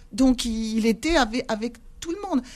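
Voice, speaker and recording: Lively intonation and a fairly high pitch in a woman's normal speaking voice. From Algeria, Sidi Bel Abbès (pied-noir, Spanish-descended family). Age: 60s. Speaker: retired civil servant and memory-reconciliation activist. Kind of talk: radio interview.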